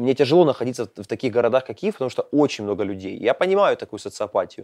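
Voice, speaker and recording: At a very fast pace, a man of medium pitch talks with lively intonation, the sound dry and close with no echo and the background quiet. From eastern Ukraine, Pokrovsk (Donetsk region). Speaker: podcast host. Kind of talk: casual chat. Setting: school building.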